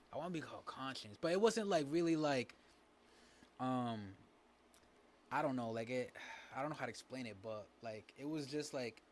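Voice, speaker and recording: At a moderate pace and medium pitch, a man talks with long, frequent pauses. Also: lively intonation. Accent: Spanish. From New Bedford, Massachusetts, US. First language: Spanish. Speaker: rapper and dancer. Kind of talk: casual interview. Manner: halting, many fillers.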